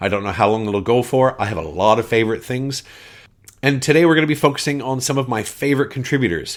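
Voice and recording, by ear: This speaker has a Canadian accent and a fast pace. The pitch varies in an ordinary way. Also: man, medium pitch for a man.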